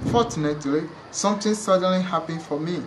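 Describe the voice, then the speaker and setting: Audible room echo and noticeable background noise. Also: man. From Togo, West Africa. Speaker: refugee sharing life story. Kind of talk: reading aloud personal story.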